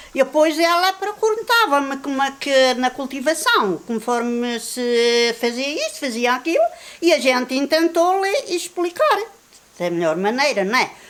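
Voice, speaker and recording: Noticeable background noise sits behind a woman whose high pitch moves in very wide swings. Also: fairly slow pace. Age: 60s. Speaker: villager. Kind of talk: documentary interview.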